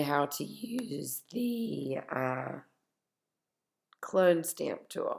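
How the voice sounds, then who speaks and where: A woman speaks with very wide pitch swings. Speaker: teacher. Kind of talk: tutorial. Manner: casual.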